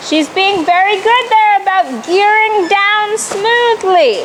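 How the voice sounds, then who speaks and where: An extremely high-pitched woman's voice at a very slow pace, with ordinary pitch variation and noticeable background noise. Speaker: riding instructor. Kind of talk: riding lesson coaching. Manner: loud, yelling.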